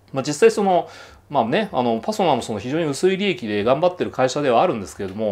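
A man talks at a very fast pace in a fairly high voice. His pitch swings very widely. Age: 40s. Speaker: commentator and blogger; economic commentator. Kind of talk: monologue commentary; commentary. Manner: casual, hesitant with many fillers. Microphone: phone near.

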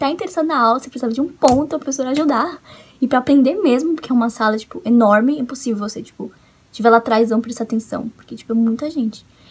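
Talking at a very fast pace, a woman sounds animated, her high pitch showing ordinary variation. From Brazil. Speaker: vlogger, international student; vlogger. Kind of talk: casual vlog. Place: home room. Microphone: webcam.

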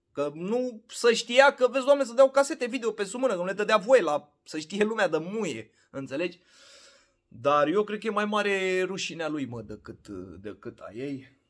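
An animated voice at a moderate pace with very wide pitch swings and big swings in loudness, against a quiet background. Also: man, high pitch for a man. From Romania. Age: 30s. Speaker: vlogger. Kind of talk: casual vlog monologue. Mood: opinionated, ranting. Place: home room. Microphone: phone near.

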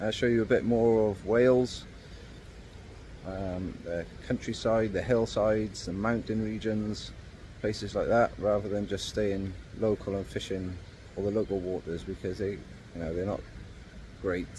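The voice has a dark, mellow tone and fairly even intonation. It moves at a fairly slow pace with long, frequent pauses. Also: man, fairly low pitch for a man.

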